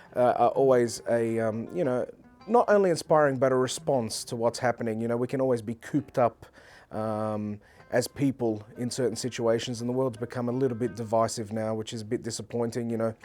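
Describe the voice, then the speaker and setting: A man with an Australian accent, fairly quick and fairly even in intonation. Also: medium pitch for a man. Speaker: oud player and composer. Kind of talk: interview monologue. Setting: hot springs venue. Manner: hesitant, many fillers.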